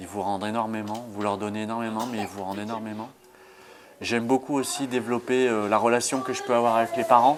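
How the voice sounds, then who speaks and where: Fairly quick, monotone speech with flat intonation over noticeable background noise. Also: man, medium pitch for a man. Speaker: nursery childcare assistant. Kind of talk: interview.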